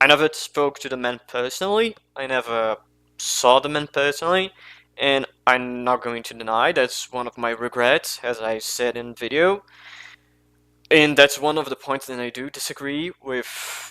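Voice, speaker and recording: A man with a non-native accent speaks at a moderate pace and medium pitch in a bright, sharp tone, with ordinary pitch variation and big swings in loudness. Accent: non-native English, mispronounces names. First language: not English. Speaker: commentary youtuber. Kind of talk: unscripted commentary monologue. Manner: halting, self-correcting.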